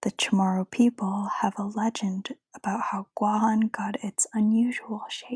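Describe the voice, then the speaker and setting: Soft-spoken, the voice unfolds at a very slow pace. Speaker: ASMR creator. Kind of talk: ASMR book reading.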